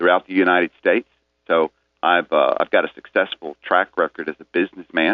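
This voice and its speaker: This man has a Tennessee accent. He talks at a fairly quick pace. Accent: Southern US, Tennessee. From Middle Tennessee, Rutherford County. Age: 50s. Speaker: political candidate. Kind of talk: radio interview. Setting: phone call.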